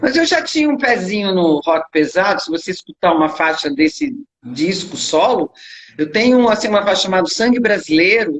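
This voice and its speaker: Her pitch swings very widely as this woman talks at a moderate pace. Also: medium pitch for a woman. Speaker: rock singer. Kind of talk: interview.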